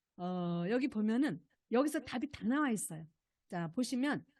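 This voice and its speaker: At a moderate pace, a woman speaks in a high voice with lively intonation and an animated tone. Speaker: lecturer, policy expert on low birth rate. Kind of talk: lecture.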